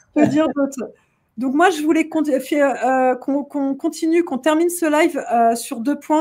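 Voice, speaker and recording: A woman talks at a fairly slow pace with a high pitch. Her tone is dark and mellow, and her pitch varies in an ordinary way. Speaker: event organizer hosting a live show. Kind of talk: casual live stream chat. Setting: online live stream. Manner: animated, many hesitations.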